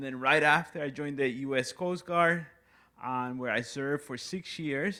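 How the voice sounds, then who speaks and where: A man with a Puerto Rican accent speaks at a moderate pace with fairly high pitch, a bright, sharp tone and fairly even intonation. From Puerto Rico. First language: Spanish. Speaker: new staff member. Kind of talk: self-introduction. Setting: community town hall meeting.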